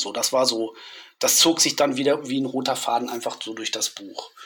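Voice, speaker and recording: A man speaks over noticeable background noise. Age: 50s. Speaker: horror film author and interviewer. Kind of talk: casual chat.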